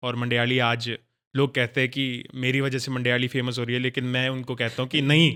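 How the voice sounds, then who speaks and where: A man speaks with a Himachali accent. His intonation stays flat and monotone. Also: medium pitch for a man, moderate pace. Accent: Mandiyali tone in his Hindi. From Mandi, Himachal Pradesh, India. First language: Mandiyali (speaking Hindi). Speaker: radio host and content creator. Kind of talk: casual interview chat.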